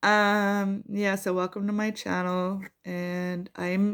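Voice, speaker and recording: Medium-pitched woman's speech, captured on a very clean recording against a silent background. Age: 60s. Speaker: spiritual vlogger, energy healer. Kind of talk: casual personal vlog monologue. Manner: hesitant, many fillers.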